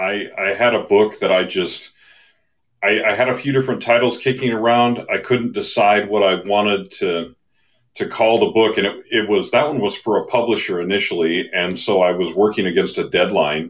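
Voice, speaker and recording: A man with an American accent speaks at a moderate pace in a fairly low voice. His pitch varies in an ordinary way over a quiet background. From Idaho. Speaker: author and editor. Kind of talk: interview. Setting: live audience in room. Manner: halting.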